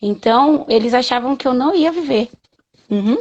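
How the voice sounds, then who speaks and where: Her pitch is high as a woman speaks at a fairly slow pace. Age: 30s. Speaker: patient advocate and mother. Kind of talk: interview.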